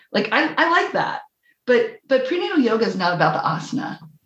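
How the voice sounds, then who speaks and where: At a moderate pace, a woman talks with very wide swings in pitch. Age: 50s. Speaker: prenatal yoga teacher and midwife. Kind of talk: casual chat. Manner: animated.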